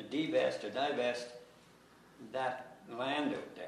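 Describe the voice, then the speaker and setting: A man talks at a fairly slow pace. Audible room echo and noticeable background noise come through. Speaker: local resident speaking at public consultation. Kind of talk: public meeting testimony. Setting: town hall public meeting. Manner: halting, repetitive.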